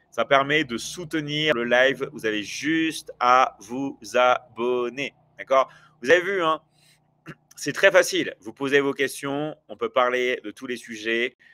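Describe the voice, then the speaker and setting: At a very slow pace, a man with a fairly high pitch and a bright, sharp tone speaks with ordinary pitch variation and big swings in loudness, in a dry, close sound with no echo. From France. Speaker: online business coach and livestreamer. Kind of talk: live stream chat with viewers. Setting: livestream. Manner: hesitant, many fillers.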